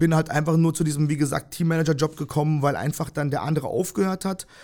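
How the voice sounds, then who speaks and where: A fairly high-pitched man on a very clean recording with a silent background. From Germany (Freiburg, Breisgau), born in Kyrgyzstan. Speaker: volleyball team manager. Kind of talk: casual interview. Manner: hesitant, many fillers.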